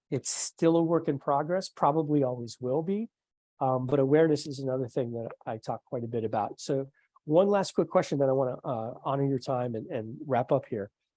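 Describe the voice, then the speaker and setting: Fairly quick and fairly high in pitch, a man's voice has a dark, mellow tone and ordinary pitch variation, sounding dry and close with no echo over a quiet background. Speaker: podcast host, communication skills trainer. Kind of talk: interview conversation. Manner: fast; quiet, low volume.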